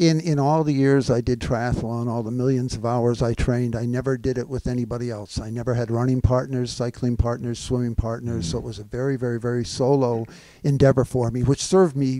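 A man's dark, mellow tone, fairly quick with hardly any pauses and fairly even intonation, in a dry sound with no echo against a quiet background. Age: 70s. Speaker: former Ironman triathlete, CrossFitter. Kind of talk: podcast interview answer. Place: meeting room. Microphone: handheld.

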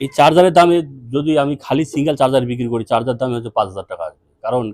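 With a plain, everyday voice, a man speaks at a medium pitch using lively intonation. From North Bengal, India (Dhupguri, Jalpaiguri). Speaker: EV battery seller and YouTuber. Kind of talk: product demo video. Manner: casual, repetitive fillers.

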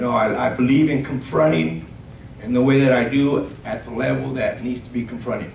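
A man with a medium pitch and a slightly mellow tone speaks at a moderate pace with vocal fry. His pitch varies in an ordinary way, and audible room echo surrounds his voice.

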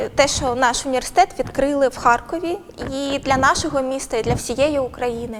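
A woman with a high-pitched voice speaks at a moderate pace with ordinary pitch variation over noticeable background noise. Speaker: interviewer. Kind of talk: interview. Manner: formal.

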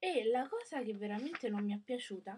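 A woman talks with lively intonation. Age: young. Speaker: book vlogger. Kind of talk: casual book review. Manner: hesitant, many fillers. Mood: critical, disappointed. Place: home room. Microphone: webcam.

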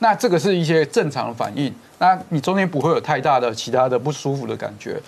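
A man's fairly high pitch with very wide pitch swings. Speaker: rehabilitation physician. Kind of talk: TV health talk show explanation. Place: studio. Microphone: lapel.

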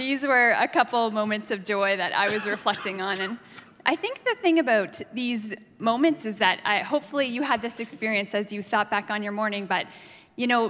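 Talking at a fairly quick pace, a woman uses ordinary pitch variation. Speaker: preacher. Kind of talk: sermon. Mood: warm, amused storytelling. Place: church. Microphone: handheld.

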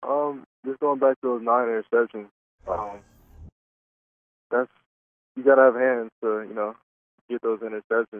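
The sound is dry with no echo as a man speaks at a fairly quick pace. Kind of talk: interview answer.

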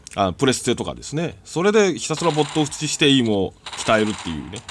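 Moving at a fairly quick pace, a man's voice swings very widely in pitch. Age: 40s. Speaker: gaming YouTuber. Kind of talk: casual monologue over gameplay. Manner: chatty with frequent laughs.

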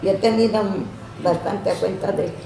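Speech comes at a moderate pace with audible room echo. Light background noise sits underneath. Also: woman. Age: 80s+. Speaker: elderly woman recounting her life. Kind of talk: interview answer. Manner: reminiscing storytelling. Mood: animated, candid storytelling. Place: home room. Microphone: camera far.

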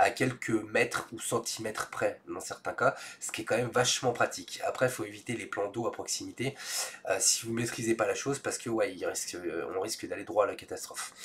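A man's fairly low voice with a fairly bright tone at a fairly quick pace. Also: fairly even intonation.

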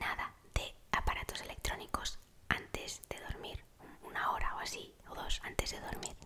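A woman whispers at a fairly slow pace. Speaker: ASMR creator. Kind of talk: ASMR sleep tips talk. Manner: whispered. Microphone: studio mic.

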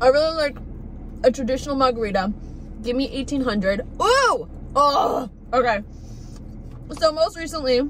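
Light background noise sits under speech at a moderate pace with long, frequent pauses. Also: woman, high pitch for a woman. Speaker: food vlogger. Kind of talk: casual vlog chat. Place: car. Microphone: phone near.

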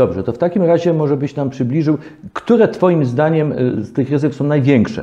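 The voice shows ordinary pitch variation at a fairly quick pace. The background is quiet. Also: man. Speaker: legal talk show host. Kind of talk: interview. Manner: formal. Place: studio. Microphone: lapel.

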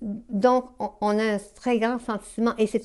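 A woman with a Quebec accent at a very slow pace, over a quiet background. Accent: Québécois French. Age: 70s. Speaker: novelist. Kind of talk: interview. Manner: halting. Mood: calm, thoughtful.

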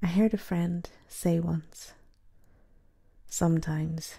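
A woman's somewhat breathy, dark, mellow voice at a fairly low pitch, in monotone, flat intonation, on a very clean recording with a silent background. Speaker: poet. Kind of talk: spoken word poetry reading.

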